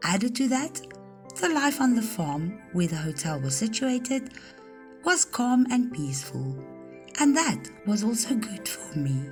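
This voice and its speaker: A woman speaks at a fairly slow pace with very wide pitch swings. Music plays in the background. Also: fairly high pitch for a woman. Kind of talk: personal life story narration.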